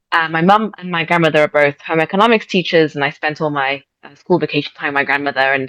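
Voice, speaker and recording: A woman with an English accent speaks very fast, with hardly any pauses and a very deep, low pitch. Her loudness swings widely while her pitch varies in an ordinary way. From England. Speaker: shop owner. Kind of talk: interview. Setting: video call.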